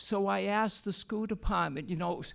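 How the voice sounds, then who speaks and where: A man's high-pitched voice. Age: 70s. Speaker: retired teacher speaking at public comment. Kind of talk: public testimony. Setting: public meeting, broadcast. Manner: halting, with many fillers and repetitions.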